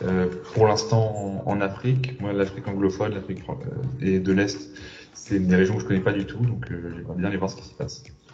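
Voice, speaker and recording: Fairly quick and fairly low-pitched, a man talks with ordinary pitch variation and big swings in loudness, with music in the background and audible room echo. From Senegal. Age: 30s. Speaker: entrepreneur. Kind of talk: testimony. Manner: halting.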